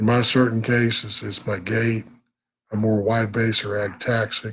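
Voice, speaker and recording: The voice belongs to a man at a medium pitch. It sounds somewhat breathy. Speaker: vlogger with Parkinson's. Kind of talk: live stream talk. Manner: halting.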